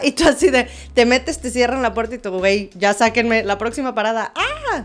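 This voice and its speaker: A woman's high, animated voice at a moderate pace, with ordinary pitch variation, in a very clean recording over a silent background. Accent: Mexican. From Mexico. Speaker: dancer and musical theatre performer. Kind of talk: casual interview chat. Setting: relaxed studio recording in pyjamas. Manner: animated, laughing.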